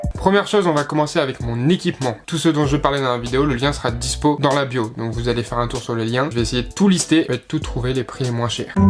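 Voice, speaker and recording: Music plays in the background as a man talks at a very fast pace in a medium pitch with ordinary pitch variation. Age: 20s. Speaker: YouTuber and American football player. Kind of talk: casual talk to camera. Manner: relaxed, casual.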